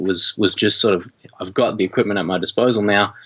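Speaking with an Australian accent, a man has a fairly low voice with ordinary pitch variation. He talks at a fairly quick pace. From Australia (rural Victoria, Shepparton). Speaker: media and music teacher, documentary filmmaker. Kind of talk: casual interview chat.

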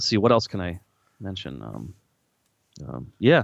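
A man speaks in a plain, everyday voice with an American accent. His pace is fairly quick. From US Midwest, Lansing, Michigan. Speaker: podcast co-host, car enthusiast. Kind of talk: casual chat.

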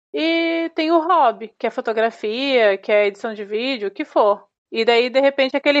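Here a woman talks at a moderate pace. Her voice is high in pitch, with ordinary pitch variation. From Brazil, interior of Paraná. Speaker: emigrant interviewee. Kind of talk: casual chat.

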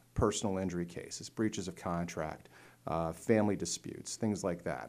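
An unremarkable speaking voice belongs to a man with an American accent, fairly low in pitch with ordinary pitch variation. He keeps a moderate pace on a very clean recording with a silent background. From north central Pennsylvania, Lycoming County. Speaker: judge and court candidate. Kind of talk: interview.

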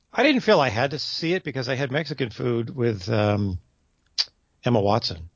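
Somewhat breathy, the voice carries lively intonation. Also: man, medium pitch for a man, moderate pace. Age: middle-aged. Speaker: podcast co-host, movie reviewer. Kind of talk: casual chat.

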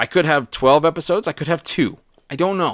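The recording of a man talking is very clean, with total silence in the background. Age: 40s. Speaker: podcast host. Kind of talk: solo personal monologue. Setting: home recording at computer. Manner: casual with filler words.

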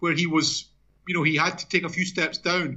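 A man with an Edinburgh accent, high in pitch, at a fairly quick pace with fairly even intonation. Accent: Scottish (Edinburgh). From Scotland, Edinburgh. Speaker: journalist and author. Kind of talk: interview.

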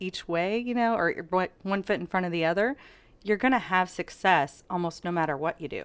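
The recording is very clean, with a silent background. A woman speaks at medium pitch with ordinary pitch variation in an unremarkable speaking voice. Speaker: realtor business coach. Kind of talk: interview.

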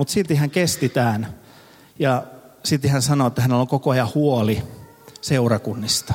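Keeping his loudness very even, a man with a medium pitch, ordinary pitch variation and a somewhat breathy voice speaks at a moderate pace with long, frequent pauses. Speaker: pastor. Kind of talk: sermon. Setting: church service with audience.

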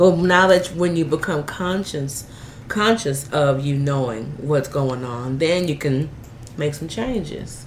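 The tone is animated and upbeat, with lively intonation at a fairly slow pace. Noticeable background noise runs underneath. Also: woman. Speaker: radio show host. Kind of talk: casual interview chat. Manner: animated, upbeat.

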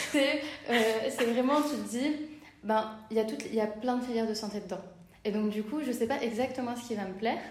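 A woman's fairly high voice, with fairly even intonation, is heard with audible room echo and noticeable background noise. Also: moderate pace. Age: 20s. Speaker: midwife. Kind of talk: interview. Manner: halting.

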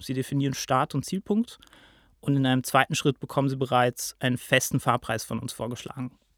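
Recorded very cleanly with a silent background and a dry, close sound with no echo, a man with an ordinary speaking voice of medium pitch talks at a moderate pace. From Lake Constance region, rural southern Germany. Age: 20s. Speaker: PR manager at a ride-pooling company. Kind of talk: podcast interview.

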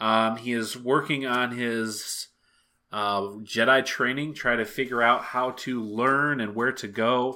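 Delivered at a fairly slow pace, the bright, sharp voice stays flat and monotone on a very clean recording with a silent background. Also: man, medium pitch for a man. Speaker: co-host. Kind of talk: casual podcast chat.

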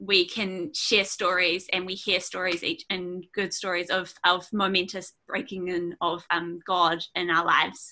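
Here is a woman with a New Zealand accent and a bright, sharp tone. Her pitch is medium and her pace fairly slow. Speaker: preacher. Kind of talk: sermon. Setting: video call.

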